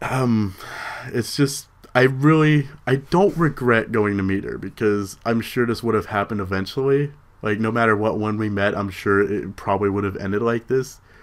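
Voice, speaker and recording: Mumbling at a moderate pace, a man speaks at medium pitch with ordinary pitch variation. The recording is very clean, with a silent background. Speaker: vlogger. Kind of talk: personal vlog. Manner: halting.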